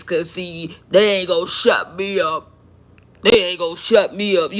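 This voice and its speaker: A raspy put-on character voice at a middle pitch moves along at a moderate pace. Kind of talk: informal, slangy. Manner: defiant.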